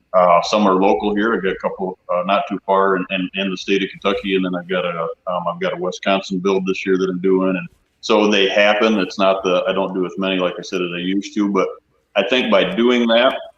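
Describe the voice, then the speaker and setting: A man speaks at a fairly quick pace in an ordinary speaking voice. His pitch is fairly low, and his intonation stays fairly even. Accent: American. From Michigan. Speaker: habitat consultant, former hunting guide. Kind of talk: casual interview chat. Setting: livestream panel.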